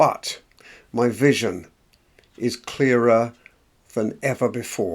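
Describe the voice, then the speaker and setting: In an English accent, a man with a medium pitch talks at a very slow pace with long, frequent pauses. His intonation is fairly even. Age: 70s. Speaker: motivational vlogger. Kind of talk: personal vlog monologue. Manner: unscripted, hesitant.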